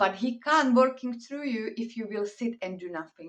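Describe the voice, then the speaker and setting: A woman speaks in a Slovak accent with ordinary pitch variation. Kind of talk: inspirational talk.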